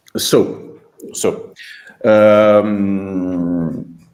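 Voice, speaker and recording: Audible room echo surrounds this man's voice. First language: not English. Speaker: researcher presenting a paper. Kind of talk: conference Q&A. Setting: remote video call. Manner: halting.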